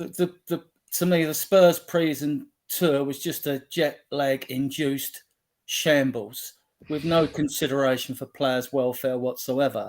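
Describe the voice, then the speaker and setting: A man speaks at a fairly slow pace in an unremarkable speaking voice, fairly high-pitched and fairly even in intonation. The recording is very clean, with a silent background. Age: 60s. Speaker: football fan group admin. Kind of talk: casual chat.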